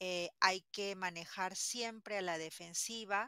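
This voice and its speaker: A woman speaks very slowly in a bright, sharp tone with fairly even intonation. The sound is dry with no echo, and the background is quiet. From Peru, Lima; Peru. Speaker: language teacher. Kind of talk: interview. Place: home room.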